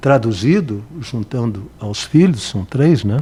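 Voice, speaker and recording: Speaking at a very slow pace, a man uses lively intonation. His tone is dark and mellow, and somewhat breathy. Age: 70s. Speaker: radio broadcaster. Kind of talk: interview.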